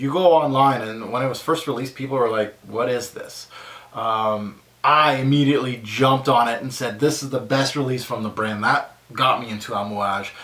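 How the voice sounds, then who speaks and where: A man with a Quebec accent speaks at medium pitch and a moderate pace. His intonation is fairly even, over noticeable background noise. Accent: French Canadian accent in English. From French Canada, small town bordering Quebec. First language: French. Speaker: fragrance reviewer YouTuber. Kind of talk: casual Q&A vlog. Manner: hesitant, many fillers.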